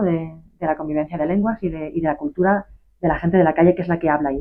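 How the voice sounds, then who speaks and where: A woman's fairly low voice in a Galician accent, very fast, with fairly even intonation. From Galicia, Isla de Arousa. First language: Galician (speaking Spanish). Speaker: author. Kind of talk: interview. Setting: bookshop.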